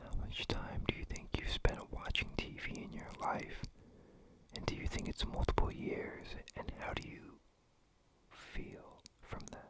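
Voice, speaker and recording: Whispering at a fairly slow pace, a woman leaves long, frequent pauses amid big swings in loudness and noticeable background noise. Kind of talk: ASMR asking the listener questions. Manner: whispered, up close; chill, relaxed.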